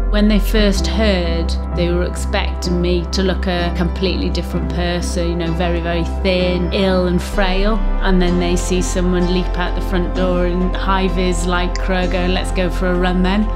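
Over clear background music, a woman talks at a moderate pace with hardly any pauses. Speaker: lung cancer patient. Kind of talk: interview answer. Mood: determined, hopeful, reflective. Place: home room.

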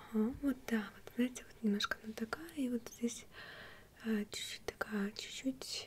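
A woman talks at a fairly slow pace with ordinary pitch variation, over light background noise. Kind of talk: soft-spoken role-play chat. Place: home room.

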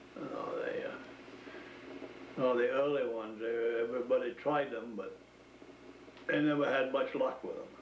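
There is audible room echo and light background noise as a man with an American accent speaks. His pace is moderate, with long, frequent pauses. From Maine, USA. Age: 80s+. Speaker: former woodsman; interviewee. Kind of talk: oral history interview answer. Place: kitchen. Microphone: old recording.

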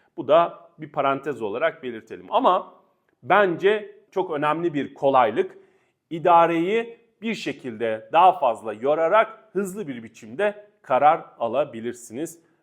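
This man's loudness swings a great deal as he speaks fairly slowly. His fairly high voice moves through very wide pitch swings. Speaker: lawyer. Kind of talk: legal explainer video.

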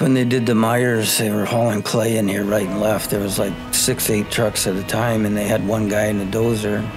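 Delivered at a fairly quick pace, the speech is monotone and flat in intonation with very even loudness, and clear music plays in the background. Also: man, fairly low pitch for a man. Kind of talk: interview answer. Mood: relaxed, fond recollection. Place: home room.

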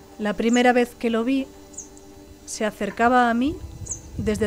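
Over music in the background, a woman speaks at a moderate pace with a fairly high pitch. Her intonation is fairly even, broken by long, frequent pauses. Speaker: storyteller. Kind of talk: personal story narration.

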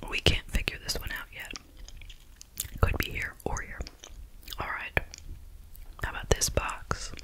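Soft-spoken and whispering, the speaker goes at a fairly slow pace over noticeable background noise. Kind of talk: tutorial. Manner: soft ASMR whisper.

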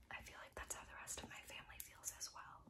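Whispering, a woman speaks in a soft-spoken way. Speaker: beauty vlogger. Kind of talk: casual vlog chat. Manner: soft whispered rambling. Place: home room. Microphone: phone near.

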